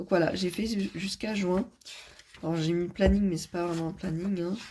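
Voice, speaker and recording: Her pitch fairly low and her intonation flat and monotone, a woman speaks at a moderate pace. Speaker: vlogger. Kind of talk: casual vlog talk. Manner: hesitant, many fillers.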